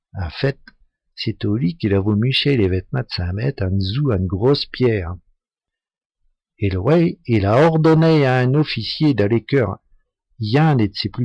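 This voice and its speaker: In a northern French accent, a somewhat breathy man speaks at a fairly slow pace with lively intonation and long, frequent pauses, in a very clean recording with a silent background. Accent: northern French Picard (Ch'ti) dialect. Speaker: storyteller. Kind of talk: folk tale telling in local dialect.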